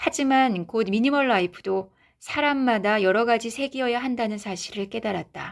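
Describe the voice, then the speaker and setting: On a very clean recording with a silent background, a woman speaks at a moderate pace in a calm, soothing tone with fairly high pitch and ordinary pitch variation. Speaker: author and YouTuber reading her own book. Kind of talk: reading aloud.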